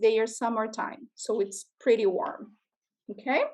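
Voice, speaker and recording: A woman with a Portuguese accent at a fairly slow pace. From Brazil. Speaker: educator presenting to school classes. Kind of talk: classroom presentation to children.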